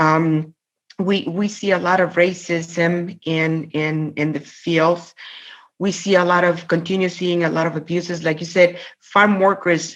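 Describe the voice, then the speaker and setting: A woman with a Spanish accent speaks at a fairly low pitch and a fairly slow pace in a flat monotone. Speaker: labor union president. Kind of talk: interview conversation. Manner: halting, many fillers and repetitions.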